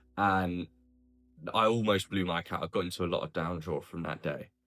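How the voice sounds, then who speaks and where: A man's very deep, low voice comes through with music in the background. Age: 20s. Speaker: day trader, video creator. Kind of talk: personal vlog monologue.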